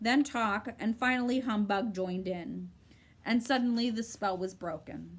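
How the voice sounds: This is a natural reading voice. Pitch variation is ordinary.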